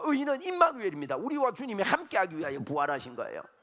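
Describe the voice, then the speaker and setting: Here a man talks at a very fast pace. His tone is animated. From Gyeongsang region, South Korea. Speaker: pastor. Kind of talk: sermon.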